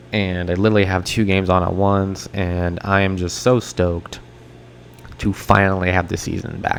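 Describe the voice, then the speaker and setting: Over noticeable background noise, a soft-spoken man with a very deep, low pitch talks at a moderate pace in a monotone, flat intonation. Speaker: sports podcast host. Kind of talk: solo sports podcast talk. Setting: home, on a couch at night. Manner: soft-spoken, speaking quietly. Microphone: poor sound quality.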